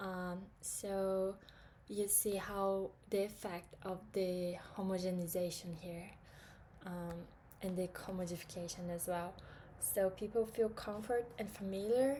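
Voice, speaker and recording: A woman with a Portuguese accent speaks at a fairly slow pace and medium pitch in a dark, mellow, somewhat breathy tone with fairly even intonation. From Brazil. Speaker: student. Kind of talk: class presentation. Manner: hesitant, many fillers.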